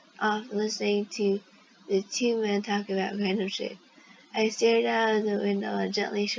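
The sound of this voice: Fairly even intonation from an unforced reading voice.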